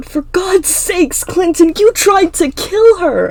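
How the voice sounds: A woman puts on a character voice at an extremely high pitch, with a slightly mellow tone. She speaks slowly, her intonation lively.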